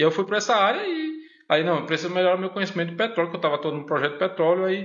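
Very fast and high-pitched, a man talks with fairly even intonation over noticeable background noise. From Northeast Brazil, Pernambuco and Mossoró. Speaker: university professor. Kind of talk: casual chat.

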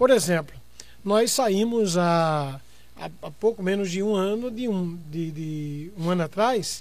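A man's voice, very cleanly recorded against a silent background. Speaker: pastor and debate show host. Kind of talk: moderated religious debate.

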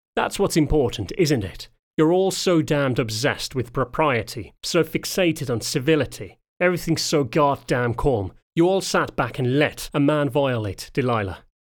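In a put-on character voice, a man growls with a fairly high pitch. His intonation is lively and his pace moderate. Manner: snarling, angry.

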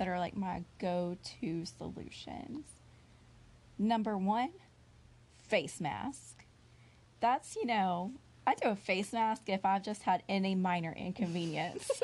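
Somewhat breathy and at a medium pitch, a woman speaks at a fairly slow pace with lively intonation and long, frequent pauses. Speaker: podcast co-host. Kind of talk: casual chat.

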